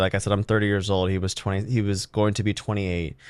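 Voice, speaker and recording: A man with a fairly low pitch over a quiet background. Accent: Californian. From California (Monterey). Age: 30s. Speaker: podcast host. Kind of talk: casual podcast monologue. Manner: halting, many fillers.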